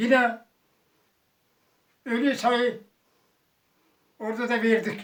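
In an extremely high pitch, a man speaks. His pace is very slow. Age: 80s+. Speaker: war veteran. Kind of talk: interview answer.

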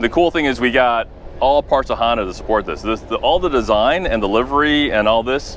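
A man talks at a fairly quick pace. The sound is dry with no echo and light background noise. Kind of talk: interview answer. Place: street. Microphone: lapel.

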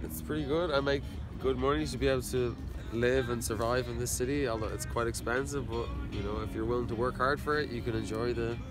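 Over clear music in the background, a man with an Irish accent talks at a very fast pace in a dry sound with no echo. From Dublin, Ireland. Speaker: carpenter. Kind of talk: interview answer. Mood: relaxed, friendly. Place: garden. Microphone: phone near.

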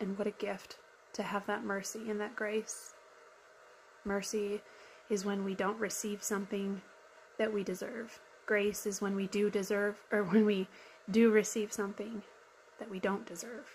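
Monotone, flat delivery at a moderate pace, with long, frequent pauses over light background noise. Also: woman. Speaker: YouTube commentator. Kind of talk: reaction commentary, sermon-like. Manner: earnest, reflective. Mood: earnest, soft, heartfelt. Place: home room. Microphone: phone near.

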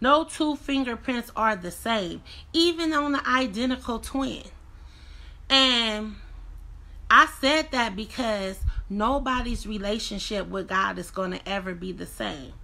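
A woman's fairly high voice, bright and sharp in tone, with lively intonation. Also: fairly slow pace, big swings in loudness. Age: 30s. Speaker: vlogger. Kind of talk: casual livestream talk. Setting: livestream at home. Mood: earnest, reflective, motivational. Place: home room. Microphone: phone near.

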